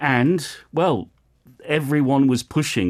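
The recording of this man is very clean, with nothing heard in the silent background. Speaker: radio host. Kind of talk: casual chat. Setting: studio.

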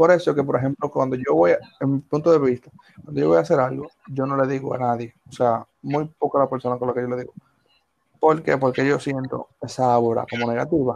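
In an ordinary speaking voice, a man talks fairly quickly at a medium pitch with ordinary pitch variation. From Dominican Republic, Villa Faro. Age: 20s. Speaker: podcast co-host. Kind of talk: casual chat.

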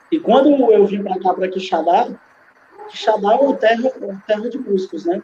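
A man's high voice, with ordinary variation in pitch, moves fairly quickly while noticeable noise fills the background. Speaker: DJ and composer. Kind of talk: casual interview.

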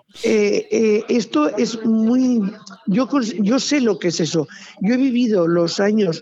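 Over noticeable background noise, a woman with a fairly high pitch talks at a very slow pace, her pitch variation ordinary and her loudness very even. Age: old. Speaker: retired police officer. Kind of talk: casual chat. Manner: animated.

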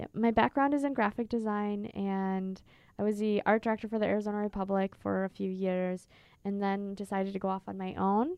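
Speaking with an American accent, a woman with a plain, everyday voice talks at a fairly quick pace and medium pitch, her intonation fairly even. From Minnesota. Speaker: entrepreneur. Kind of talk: interview.

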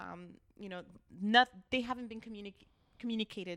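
With a Californian accent, a woman speaks at a medium pitch and a moderate pace. Her tone is bright and sharp, and her intonation is fairly even. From Los Angeles, East Hollywood. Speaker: neighborhood council member. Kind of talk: casual interview chat. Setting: learning center.

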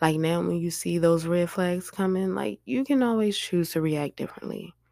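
A woman speaks at a moderate pace with a fairly low pitch and a dark, mellow tone. Her intonation is lively, and the recording is very clean with a silent background. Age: 30s. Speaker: podcast host. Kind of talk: casual monologue. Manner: loud.

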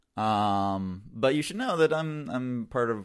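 Against a very clean recording with a silent background, a man with an unremarkable speaking voice and a medium pitch uses lively intonation. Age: 30s. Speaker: online dating enthusiast. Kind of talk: casual chat.

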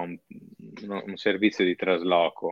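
A man with a very deep, low pitch speaks at a very slow pace. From northern Italy, Padova. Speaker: software worker living abroad. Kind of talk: interview.

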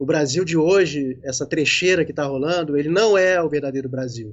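A man's ordinary speaking voice comes out fairly high in pitch and at a fairly quick pace. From Rio de Janeiro, Brazil. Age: 50s. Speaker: independent filmmaker. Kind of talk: casual interview on a live stream.

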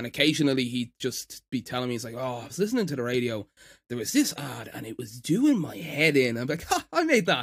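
Someone with an Irish accent speaks at a very fast pace with big swings in loudness. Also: man, medium pitch for a man, ordinary pitch variation. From Ireland. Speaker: editor and stand-up comedian. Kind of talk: casual chat.

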